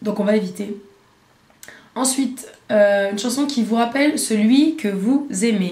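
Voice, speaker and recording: Against noticeable background noise and audible room echo, a woman speaks at a fairly high pitch with ordinary pitch variation. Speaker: beauty vlogger. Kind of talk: casual vlog talk. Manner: hesitant, many fillers.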